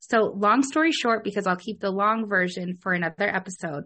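The voice belongs to a woman. She talks at a medium pitch. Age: 30s. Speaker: podcast host, essential oil specialist. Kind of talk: casual chat. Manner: animated.

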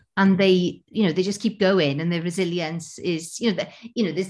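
Talking at a fairly quick pace in a Welsh accent, a woman keeps a medium pitch and fairly even intonation on a very clean recording with a silent background. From Wales. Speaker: theatre artistic director. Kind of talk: casual interview. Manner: halting.

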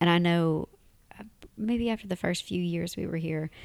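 Very clean and set against a silent background, the recording holds a woman's very deep, low voice with a dark, mellow tone. She talks at a fairly quick pace. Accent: American. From Tennessee, US South. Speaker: podcast host, expat. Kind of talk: casual chat, podcast conversation.

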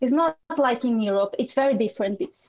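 A woman in a Portuguese accent, high-pitched, with lively intonation. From Brazil. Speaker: artist and photographer. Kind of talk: interview.

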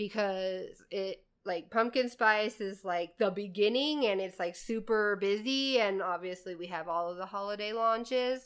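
An unremarkable speaking voice from a woman with an American accent, medium pitch and ordinary pitch variation. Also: fairly slow pace. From Indiana (Lafayette area). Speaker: podcast host and barista. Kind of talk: casual chat. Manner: giggly, laughs often.

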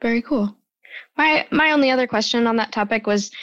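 A woman talks at a very fast pace. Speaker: social media director.

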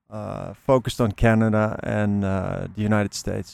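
With a Dutch accent, a man talks at a moderate pace and a medium pitch. The recording is very clean, with a silent background and a dry, close sound with no echo. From Netherlands. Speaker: flower bulb grower and seller. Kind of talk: interview. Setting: outdoors. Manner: hesitant, many fillers.

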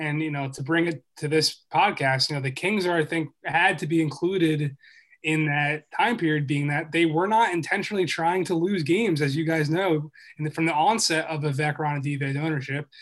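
Speaking at a fairly quick pace, a man uses a normal speaking voice with an American accent. His pitch is fairly high and his intonation fairly even. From Philadelphia, US. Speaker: sports journalist and author. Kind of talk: podcast interview.

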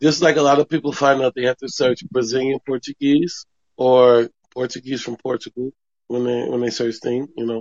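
Moderate pace and fairly even intonation in a normal speaking voice. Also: man, medium pitch for a man. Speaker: podcast host. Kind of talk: casual interview.

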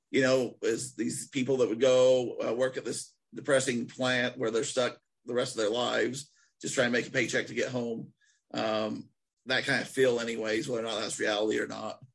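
Speaking with an American accent and vocal fry, a man keeps a medium pitch, moderate pace and monotone, flat intonation. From Utah. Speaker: podcast host. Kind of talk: casual chat.

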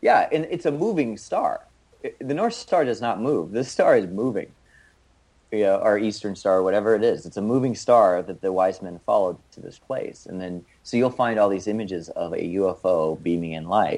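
The speaker has an ordinary speaking voice and a moderate pace. The loudness swings widely. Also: man, fairly low pitch for a man. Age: 30s. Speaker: author and healer. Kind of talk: interview conversation.

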